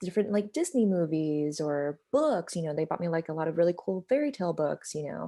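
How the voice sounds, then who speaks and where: A woman with an American accent speaks with hardly any pauses and ordinary pitch variation. Her pitch is fairly low, with a dark, mellow tone. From Nevada, US (Sparks). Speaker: artist and consultant. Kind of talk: interview. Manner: casual, many fillers.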